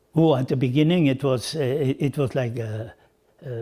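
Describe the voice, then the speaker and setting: The pace is fairly slow, with ordinary pitch variation. The voice is somewhat breathy. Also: man. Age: 80s+. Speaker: former sports federation president. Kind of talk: interview answer. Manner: hesitant, halting.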